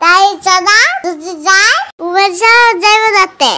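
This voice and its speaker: This is a cartoonish character voice, female-sounding and extremely high. It moves at a fairly slow pace. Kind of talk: comic cartoon voice acting. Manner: earnest, naive, boastful.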